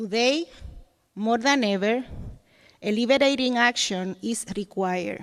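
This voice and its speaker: In a Dominican accent, the speaker goes at a fairly slow pace with long, frequent pauses. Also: woman, fairly high pitch for a woman, ordinary pitch variation. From Dominican Republic. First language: Spanish. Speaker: educator. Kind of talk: reading aloud.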